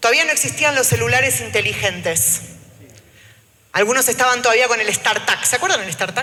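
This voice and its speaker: A woman with an Argentine accent talks fairly quickly in a fairly high voice with lively intonation. Audible room echo and noticeable background noise surround her. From Argentina. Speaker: trade unionist. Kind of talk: panel talk. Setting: auditorium with live audience. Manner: speaking standing, addressing audience.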